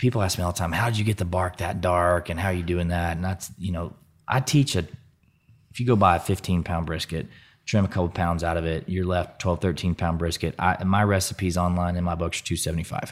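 A man with a Southern US accent speaks at a fairly quick pace in a very deep, low voice with fairly even intonation. The recording is very clean, with a silent background. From US South. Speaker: barbecue business owner. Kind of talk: casual interview conversation.

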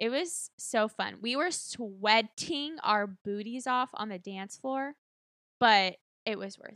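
Very slowly, a woman with an American accent speaks at a fairly high pitch, her tone bright and sharp, her intonation lively and her loudness swinging widely. The very clean recording is dry and close, with no echo and a silent background. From Texas. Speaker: podcast host. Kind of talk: casual chat. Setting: home studio.

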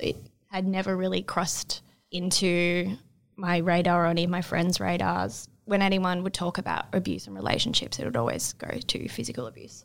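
Here a woman talks with an Australian accent. Her pace is moderate. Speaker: abuse survivor, nursing student. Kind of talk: personal testimony interview.

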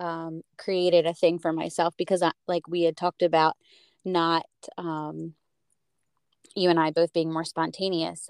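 A woman with an American accent and a fairly low pitch speaks at a fairly slow pace with long, frequent pauses. The recording is very clean with a silent background, and the sound is dry and close with no echo. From United States. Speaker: podcast host. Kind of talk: casual interview chat.

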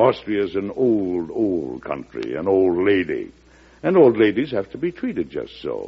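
Using a put-on character voice, a man speaks at a fairly slow pace with low pitch, very wide pitch swings, vocal fry and a slightly husky edge.

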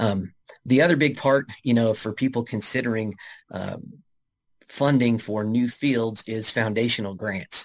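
In a plain, everyday voice, a man speaks at medium pitch and a fairly slow pace with fairly even intonation, on a very clean recording with a silent background. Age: 40s. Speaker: athletic director. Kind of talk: interview.

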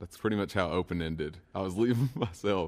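Intonation stays fairly even as a man talks with a Kentucky accent. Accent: central Kentucky Southern US. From Kentucky (Stanford, central Kentucky). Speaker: singer-songwriter. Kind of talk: casual interview. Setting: radio studio.

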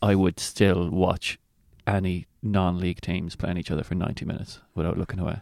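Recorded very cleanly against a silent background, with a dry, close sound and no echo, a man with an Irish accent talks at a moderate pace in a very deep, low voice with monotone, flat intonation. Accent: Irish (Mayo). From Ireland, County Mayo. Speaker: comedian. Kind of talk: casual chat.

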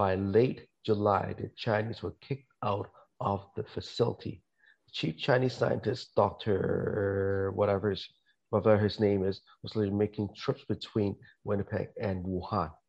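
Against a quiet background, a man with a plain, everyday voice talks at a fairly slow pace in a fairly low pitch with fairly even intonation. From Canada. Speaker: podcast guest. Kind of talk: casual chat.

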